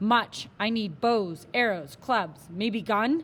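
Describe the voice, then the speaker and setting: A woman's put-on character voice, fairly high in pitch, at a very slow pace. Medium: read story. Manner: terse broken English.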